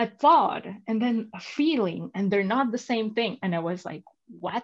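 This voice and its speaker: Somewhat breathy, a woman talks at a moderate pace with lively intonation. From Venezuela. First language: Spanish. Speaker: entrepreneur and coach. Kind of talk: interview. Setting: livestream video call. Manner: animated, many fillers.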